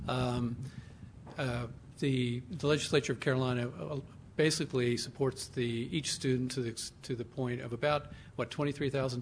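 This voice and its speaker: A man's somewhat breathy, medium-pitched voice at a moderate pace. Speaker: panel moderator, alumni association head. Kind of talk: moderating a panel.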